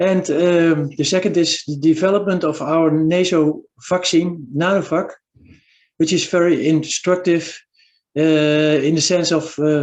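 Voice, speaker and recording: In a Dutch accent, a man speaks with a high pitch and a flat monotone. His pace is fairly slow. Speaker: physician and university lecturer. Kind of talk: webinar presentation. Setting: video call. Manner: halting.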